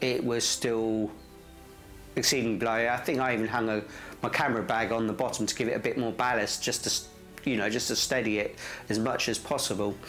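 A man's monotone, flat delivery, fairly quick but with long, frequent pauses, very even in loudness, over faint background music. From England. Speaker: landscape photographer. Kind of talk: casual talk to camera. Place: home room. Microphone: lapel.

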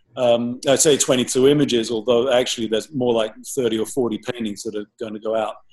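A man's medium-pitched, monotone voice with flat intonation at a moderate pace. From England, countryside. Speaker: painter. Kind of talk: interview. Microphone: video call.

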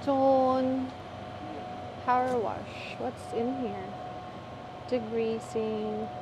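Heard through noticeable background noise, a woman's voice comes across dry with no echo. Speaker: family vlogger. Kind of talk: casual vlog chat. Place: shop. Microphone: phone near.

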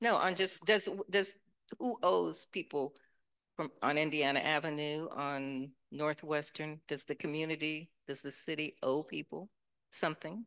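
A woman speaks with a very deep, low pitch and ordinary pitch variation. She talks at a fairly slow pace against a quiet background. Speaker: panel moderator. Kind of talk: moderated panel discussion. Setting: stage with audience. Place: hall. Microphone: handheld.

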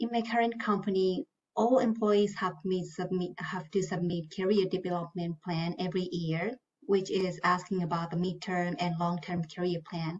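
Somewhat breathy, a woman talks at a moderate pace and medium pitch with fairly even intonation. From Japan. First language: Japanese. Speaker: finance manager; panelist. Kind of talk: panel discussion. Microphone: video call.

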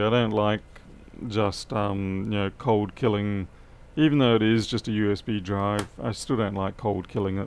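A man with a fairly low pitch talks at a moderate pace. His intonation stays fairly even. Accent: Australian. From Australia (Adelaide); Australia. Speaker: electronics repair technician. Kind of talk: live-stream repair tutorial with chat. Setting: workshop, live stream. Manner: casual, chatty. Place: workshop.

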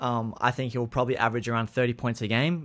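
The man speaks at a very fast pace. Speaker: sports vlogger. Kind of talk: commentary. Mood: light, joking. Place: home room. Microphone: studio mic.

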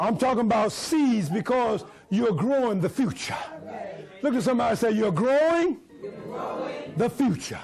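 Light background noise behind a man's animated voice, extremely high in pitch. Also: lively intonation, moderate pace. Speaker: preacher. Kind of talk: sermon. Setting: church with congregation. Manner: animated call-and-response preaching, urging the congregation to repeat lines. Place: church.

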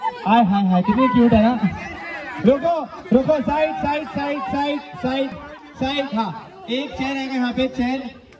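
This man speaks at a very slow pace with an extremely high pitch for a man. His pitch varies in an ordinary way, and crowd noise sounds in the background. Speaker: wedding emcee. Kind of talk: live event hosting, wedding games. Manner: energetic. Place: stage.

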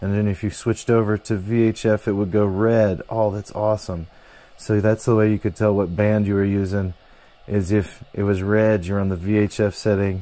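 A man talks at a moderate pace in a fairly low pitch. His intonation is monotone and flat, and the sound is dry with no echo. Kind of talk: tutorial. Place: workshop.

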